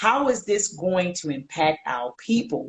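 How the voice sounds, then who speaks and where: In a Baltimore accent, a woman speaks with a fairly low pitch and a somewhat breathy sound. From Baltimore, US. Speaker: historian featured in documentaries. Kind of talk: casual interview on livestream. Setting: video livestream.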